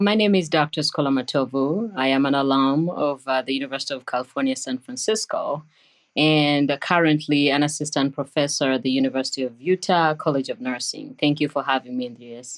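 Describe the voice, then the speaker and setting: A woman with a Ugandan accent speaks at a very deep, low pitch. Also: ordinary pitch variation, hardly any pauses. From Uganda, Entebbe. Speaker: nurse scientist, professor. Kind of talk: interview.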